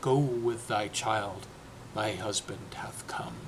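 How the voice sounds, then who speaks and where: A man whispers in a put-on character voice. He goes at a very slow pace. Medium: read story. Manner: gentle, serene.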